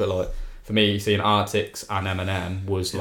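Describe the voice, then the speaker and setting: A man's fairly low voice in an English accent. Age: 20s. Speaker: music festival fan. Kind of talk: casual chat. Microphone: new podcast microphone.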